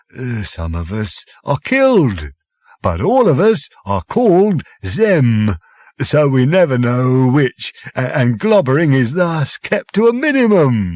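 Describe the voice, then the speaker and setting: A man's put-on character voice, medium in pitch and fairly slow in pace. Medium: read story. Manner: gentle, hesitant, kindly.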